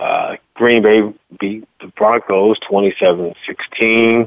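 A man speaks with an American accent at a fairly low pitch. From Virginia. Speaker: sports radio host. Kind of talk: live sports talk show. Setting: live studio broadcast. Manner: casual, conversational.

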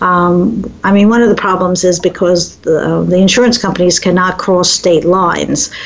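A woman with a medium-pitched voice speaks at a moderate pace with hardly any pauses, fairly even intonation and very even loudness, over noticeable background noise. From US East Coast. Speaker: talk radio host, family caregiving expert. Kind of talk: radio interview.

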